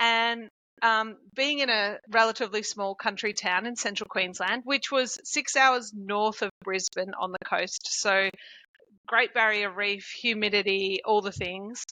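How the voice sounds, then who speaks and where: A woman with an Australian accent, fairly high pitch, fairly even intonation and a fairly slow pace. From rural Victoria, Australia. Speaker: chiropractor. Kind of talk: podcast interview.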